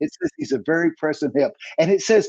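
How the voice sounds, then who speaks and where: A man speaks loudly at a moderate pace, his tone dark and mellow. The sound is dry and close with no echo. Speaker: preacher. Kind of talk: sermon.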